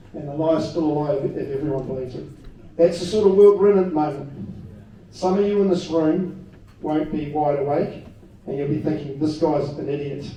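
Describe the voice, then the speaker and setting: Here is a man with a New Zealand accent, fairly high-pitched and fairly quick. His intonation is fairly even, with audible room echo around him. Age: 50s. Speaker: political party leader, ex-police detective. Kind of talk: political rally speech.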